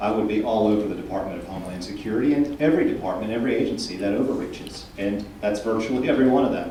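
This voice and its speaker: Over noticeable background noise and audible room echo, a man with an American accent and fairly low pitch talks at a very fast pace with hardly any pauses and ordinary pitch variation. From Texas, Houston. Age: 30s. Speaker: political candidate. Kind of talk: candidate forum answers. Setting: candidate forum with audience.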